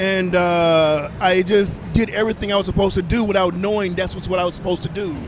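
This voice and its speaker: Over noticeable background noise, a man with a high voice and an American accent talks very fast with hardly any pauses. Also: fairly even intonation. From US South, small-town Mississippi. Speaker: celebrity chef and fitness personality. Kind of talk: casual interview.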